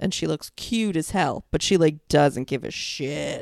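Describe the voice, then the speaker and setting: The speaker talks at a fairly slow pace with an American accent. The recording is very clean with a silent background, and the sound is dry and close with no echo. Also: woman. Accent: toned-down New York. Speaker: podcast co-host. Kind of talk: casual chat. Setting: home recording with headset.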